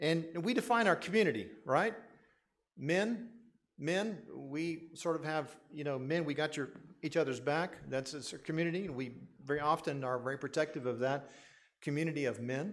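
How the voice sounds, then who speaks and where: On a very clean recording with a silent background, a man with an unremarkable speaking voice talks at a moderate pace, fairly high in pitch with ordinary variation. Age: 60s. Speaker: pastor. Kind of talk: sermon.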